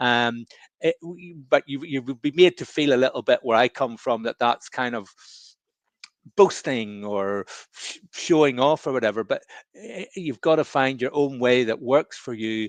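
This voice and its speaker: A man with a Northern Irish accent, medium pitch, moderate pace and ordinary pitch variation, dry and close with no echo against a quiet background. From Northern Ireland. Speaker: professor and entrepreneur. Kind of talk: webinar interview. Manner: halting, many repetitions.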